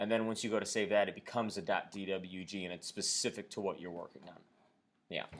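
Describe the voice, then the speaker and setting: Speaking at a very fast pace, a man keeps his fairly low pitch on fairly even intonation. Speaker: CAD instructor. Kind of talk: lecture. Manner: halting, many fillers.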